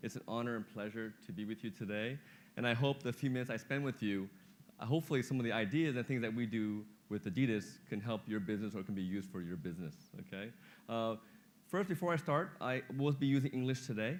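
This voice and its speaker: A man speaks at a very fast pace with lively intonation and a medium pitch. The recording is very clean, with a silent background. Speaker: business executive. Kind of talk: keynote speech. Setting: stage with audience. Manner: animated.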